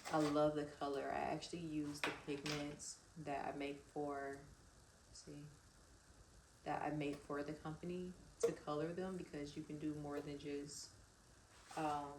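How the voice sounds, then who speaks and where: A woman speaks in a very deep, low voice with monotone, flat intonation. Her pace is fairly slow, with long, frequent pauses and audible room echo. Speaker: vlogger and small cosmetics business owner. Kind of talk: casual vlog chat.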